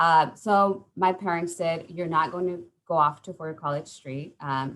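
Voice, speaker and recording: The delivery is fairly slow with fairly even intonation, while the loudness swings widely. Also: woman, fairly low pitch for a woman. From California (Santa Maria), Mexican-American. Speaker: college program coordinator. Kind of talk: panel talk, personal story. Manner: hesitant, many fillers.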